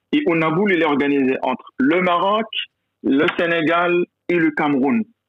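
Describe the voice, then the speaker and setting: A man speaks at a fairly slow pace in a high voice, with ordinary pitch variation. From Morocco, rural mountain village. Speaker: university professor and business school director. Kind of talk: interview. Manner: hesitant, many repetitions.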